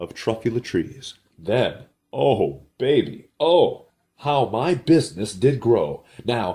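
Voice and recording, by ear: The background is quiet while the speaker is reading aloud in a natural voice, the intonation lively.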